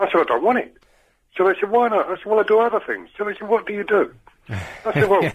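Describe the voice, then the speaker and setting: Delivered at a very fast pace in a London accent, the speech has ordinary pitch variation. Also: man, high pitch for a man. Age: 60s. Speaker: caller. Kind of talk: phone-in call.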